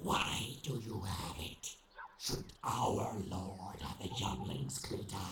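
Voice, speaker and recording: A man with a very deep, low pitch talks at a very slow pace with lively intonation. There is slight echo, loud background noise and hissing. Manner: sneering, sarcastic, hissing.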